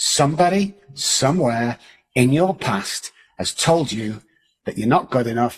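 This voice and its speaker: A man speaks in an animated tone with very wide pitch swings. His medium pitch comes out somewhat breathy. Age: 60s. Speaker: addiction and mindset coach. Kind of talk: podcast interview. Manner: animated, emphatic.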